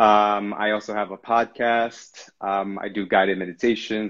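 A man with a slight non-native accent speaks at a fairly low pitch in a monotone, flat intonation. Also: quiet background. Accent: near-native English. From Brazil. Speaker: spiritual guide. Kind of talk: casual chat. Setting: video call.

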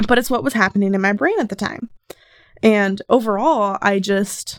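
A woman with a fairly high pitch speaks in a normal speaking voice at a moderate pace. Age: 20s. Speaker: solo podcaster. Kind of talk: casual monologue.

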